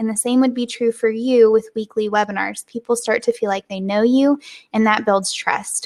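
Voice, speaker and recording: With a Southern US accent, a woman speaks at a fairly high pitch and a moderate pace. Her pitch varies in an ordinary way, and the sound is dry and close with no echo. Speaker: web designer and online business host. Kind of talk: live webinar. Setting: live video stream. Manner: informal.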